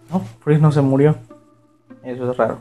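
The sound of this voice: A man's dark, mellow tone at medium pitch, fairly even in intonation and moderate in pace, with audible room echo and faint background music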